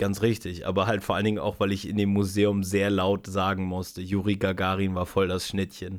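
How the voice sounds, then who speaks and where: A man with a fairly low pitch, a fairly quick pace and hardly any pauses. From eastern Germany, Spreewald (Brandenburg). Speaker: podcast host. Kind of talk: casual chat. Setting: in a room together. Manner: animated.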